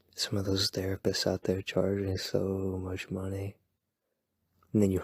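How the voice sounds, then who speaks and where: Soft-spoken and somewhat breathy, a man talks at a moderate pace in a very deep, low pitch, on a very clean recording with a silent background and a dry, close sound with no echo. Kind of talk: ASMR boyfriend roleplay. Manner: soft-spoken, rambling.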